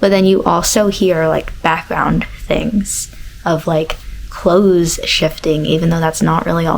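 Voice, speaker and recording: A soft-spoken woman at medium pitch and a fairly slow pace, over noticeable background noise. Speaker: vlogger. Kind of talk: casual vlog chat. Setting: at home.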